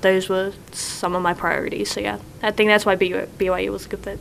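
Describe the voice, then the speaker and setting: A woman with a New Zealand accent speaks at a moderate pace. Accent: New Zealand, noticeable. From New Zealand, east coast North Island. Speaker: college basketball player. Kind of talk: casual interview chat. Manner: casual, filler-heavy.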